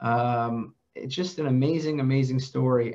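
The background stays quiet. The voice belongs to a man. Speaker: podcast host. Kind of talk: interview introduction. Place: office. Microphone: headset.

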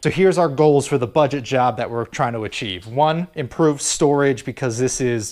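With hardly any pauses, a man talks at a moderate pace and ordinary pitch variation against a quiet background. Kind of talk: casual vlog chat. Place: garage. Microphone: phone near.

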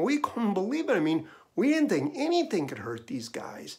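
Over a quiet background, a man with an American accent speaks with very wide pitch swings. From Minnesota. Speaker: essayist. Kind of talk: storytelling monologue. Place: home room. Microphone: webcam.

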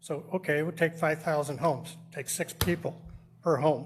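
The speaker uses an ordinary speaking voice. The pace is moderate. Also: man. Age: 60s. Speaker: landlord, public commenter. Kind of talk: public comment at council meeting. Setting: city council meeting.

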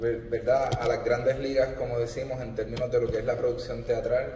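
A man's voice carries audible room echo along with light background noise. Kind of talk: formal speech. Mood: proud, celebratory. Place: stage. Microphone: podium.

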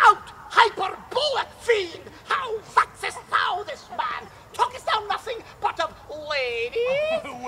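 Pitched extremely high, a put-on character voice moves at a fairly slow pace over light background noise. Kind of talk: stage Shakespeare acting, comic. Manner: mock-solemn, playful.

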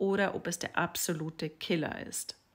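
Here a woman is speaking. Her intonation is fairly even. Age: 40s. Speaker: sex and relationship coach; relationship coach. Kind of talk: social media monologue. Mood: calm, thoughtful, expressive. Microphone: phone near.

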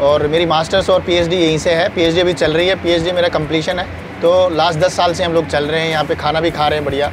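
With hardly any pauses, a high-pitched man talks very fast in a flat monotone, the sound dry with no echo and noticeable background noise behind him. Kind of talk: interview answer. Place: garden. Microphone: lapel.

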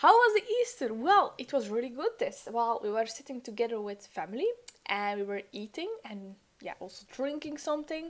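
At a moderate pace, a woman's voice shows big swings in loudness and very wide pitch swings. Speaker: study livestreamer. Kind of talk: casual livestream chat. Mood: cheerful, energetic. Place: home room. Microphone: studio mic.

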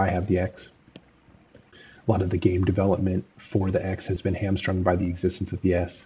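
A man speaks at a fairly quick pace in a very deep, low voice with flat, monotone intonation over light background noise. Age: 30s. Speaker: gaming commentator. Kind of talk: video commentary monologue. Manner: halting, many fillers. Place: home room.

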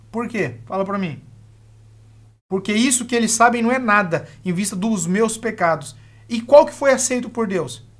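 A calm-toned man with long, frequent pauses against a quiet background. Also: moderate pace. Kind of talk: live-stream Q&A on Bible teaching. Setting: live stream.

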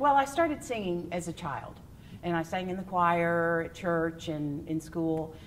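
A woman with a Texan accent speaks at a fairly slow pace and a fairly low pitch with ordinary pitch variation over light background noise. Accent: Texan American. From West Texas. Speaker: stage actor and singer; stage actress. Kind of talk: interview answers. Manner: animated. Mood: warm, cheerful. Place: stage. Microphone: lapel.

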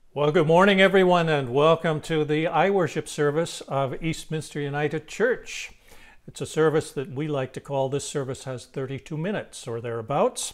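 A man's speech, with ordinary pitch variation and a moderate pace, is set against a quiet background. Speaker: minister. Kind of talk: welcome address for an online service. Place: home room. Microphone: lapel.

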